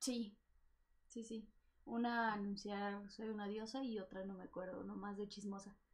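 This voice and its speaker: In a Mexican accent, a woman speaks at a medium pitch and a moderate pace, somewhat breathy, with monotone, flat intonation. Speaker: voice actor. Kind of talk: casual chat.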